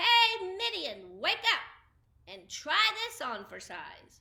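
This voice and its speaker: Using a put-on character voice, a woman projects a raised, cheerful tone at an extremely high pitch, speaking very slowly with big swings in loudness. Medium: read story. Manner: cheerful, proud.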